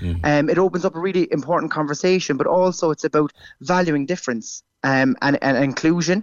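With a Cork accent, a man speaks very fast in a fairly high voice, his loudness very even and his pitch variation ordinary. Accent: Irish (Cork). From Ireland. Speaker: primary school teacher. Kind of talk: radio interview. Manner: halting, repeats words.

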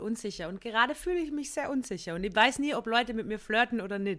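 A woman with a fairly high pitch talks at a very fast pace with a bright, sharp tone and lively intonation, on a very clean recording with a silent background. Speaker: comedian and podcast co-host. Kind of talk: casual chat.

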